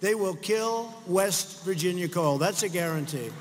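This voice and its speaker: With an American accent, a man talks at a fairly slow pace with lively intonation over noticeable background noise. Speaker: US president speaking at a political rally. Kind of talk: political rally speech to a crowd. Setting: large crowd, rally venue with audience reactions.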